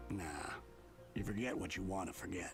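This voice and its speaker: A man's put-on character voice, very deep and low, with loud background noise. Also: fairly quick pace. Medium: game stream. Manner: relaxed, gentle.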